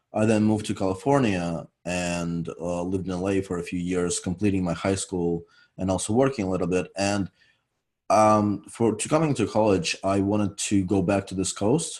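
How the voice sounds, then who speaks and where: In a very clean recording with a silent background, a man with a European accent talks at a moderate pace, his pitch fairly low with ordinary variation. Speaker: university student. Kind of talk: interview.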